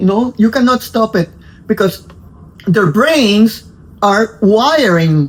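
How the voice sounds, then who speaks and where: A woman's somewhat breathy, fairly high voice with a Spanish accent and lively intonation, very slow, with long, frequent pauses. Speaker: dog breeder. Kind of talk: interview-style explanation. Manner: halting, many fillers and repetitions.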